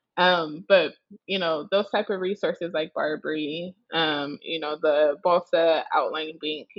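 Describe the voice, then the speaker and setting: An unremarkable speaking voice with an American accent moves at a fairly slow pace. The intonation is fairly even. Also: woman, fairly low pitch for a woman. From Nebraska. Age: 20s. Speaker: law student. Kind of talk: casual chat.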